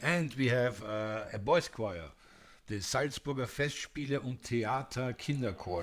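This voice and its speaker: Speaking with a German accent, the man keeps to a fairly slow pace. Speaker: classical music podcast co-host. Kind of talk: casual chat. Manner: halting, repeats words.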